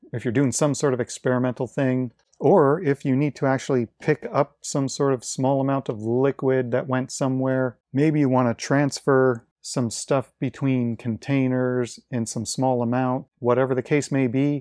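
Against a quiet background, a man talks at a moderate pace with hardly any pauses, in a monotone, flat delivery with dry sound and no echo. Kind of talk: casual product unboxing commentary. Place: workshop.

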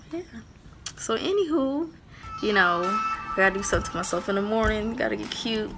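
The speaker holds a moderate pace while music plays behind the voice. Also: woman. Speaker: ministry vlogger. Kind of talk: casual vlog chat. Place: home room. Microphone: phone near.

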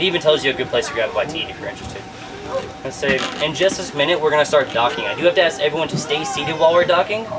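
Over noticeable background noise, a man with an American accent talks at a very fast pace. His pitch is fairly high and his intonation fairly even. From Houston, Texas. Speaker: tour guide. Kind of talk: guided tour narration. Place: boat.

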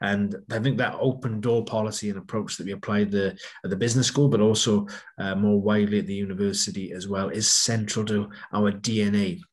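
Over a quiet background, a man with a South Welsh accent speaks at a fairly quick pace in an enthusiastic tone with a fairly low pitch. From South Wales, Swansea; Wales. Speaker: university academic director; presenter. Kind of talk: presentation. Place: home room. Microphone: video call.

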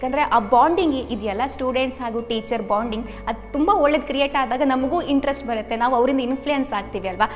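A woman talks in a high pitch with ordinary pitch variation. Faint music plays in the background. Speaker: interviewer, show host. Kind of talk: interview questions. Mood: friendly, warm. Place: classroom. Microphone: handheld.

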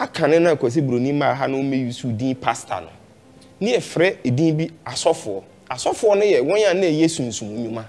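Fairly high in pitch, a man talks at a fairly quick pace with lively intonation. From Ghana. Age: young. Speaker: traditional spiritualist; interview guest. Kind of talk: interview chat. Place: studio. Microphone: lapel.

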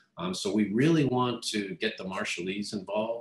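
In a room with audible echo, a man with a fairly low pitch talks at a moderate pace. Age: 60s. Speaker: health minister. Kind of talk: interview. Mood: warm, reflective. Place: office. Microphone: video call.

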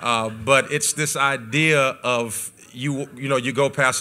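The intonation stays fairly even as a man talks. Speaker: pastor. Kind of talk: sermon. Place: church. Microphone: handheld.

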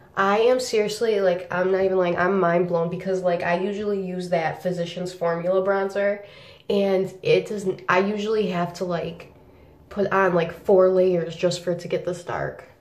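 Woman at a fairly slow pace amid audible room echo. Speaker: beauty vlogger. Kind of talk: casual video review. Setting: home video. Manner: animated. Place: bathroom. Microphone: phone near.

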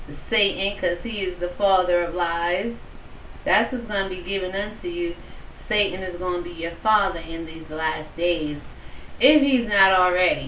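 Moderate pace and ordinary pitch variation, with audible room echo and light background noise. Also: woman. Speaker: online bible study host. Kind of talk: scripture reading with commentary. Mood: earnest, preachy. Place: home room. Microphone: webcam.

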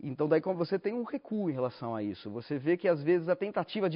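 Quiet background, a man talking at a fairly quick pace with lively intonation. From Brazil. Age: young. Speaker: literary critic and journalist; journalist. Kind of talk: TV interview. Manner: halting, many fillers. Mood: thoughtful, calm. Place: studio. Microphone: lapel.

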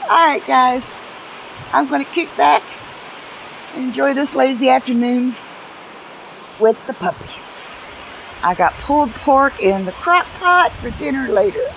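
At a fairly slow pace, the speaker leaves long, frequent pauses, with a dry sound with no echo and light background noise. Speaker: home vlogger. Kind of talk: casual vlog chat. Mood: relaxed, lazy afternoon. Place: home room. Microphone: phone near.

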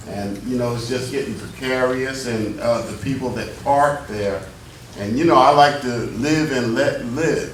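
A man with an American accent speaks at a fairly slow pace, medium in pitch with ordinary pitch variation. Noticeable background noise and audible room echo are present. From Plainfield, New Jersey. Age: 70s. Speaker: resident speaking at public comment. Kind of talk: public comment at council meeting. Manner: hesitant, many fillers.

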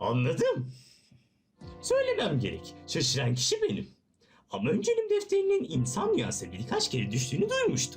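Put-on character voice at a moderate pace, faint music in the background. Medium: dub.

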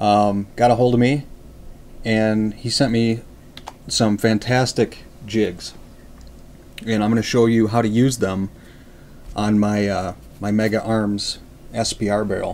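A man's fairly low, monotone, flat voice with long, frequent pauses. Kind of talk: tutorial. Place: workshop.

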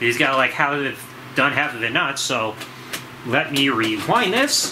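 Against faint background noise, a man talks at a fairly slow pace in a medium pitch, his tone bright and sharp and his intonation lively.

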